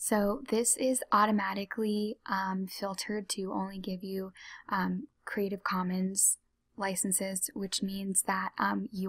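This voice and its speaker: A soft-spoken woman talks at a very slow pace in a somewhat breathy voice over a quiet background. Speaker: ASMR tutorial creator. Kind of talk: ASMR tutorial, soft-spoken talk to camera. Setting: computer mouse clicks and typing sounds in background.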